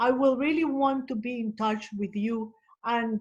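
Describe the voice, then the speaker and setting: A woman speaks with a Colombian accent and a fairly high pitch. Her voice is somewhat breathy, with fairly even intonation. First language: Spanish. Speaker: social worker. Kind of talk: webinar audience comment. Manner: halting.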